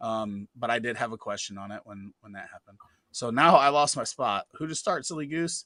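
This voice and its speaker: Loud and bright with a sharp tone, a man speaks at a fairly high pitch and a fairly quick pace with lively intonation, on a very clean recording with a silent background and a dry, close sound with no echo. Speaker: fantasy football show host. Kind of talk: live Q&A stream. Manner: animated.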